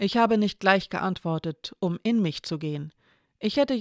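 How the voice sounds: Quiet background, natural reading voice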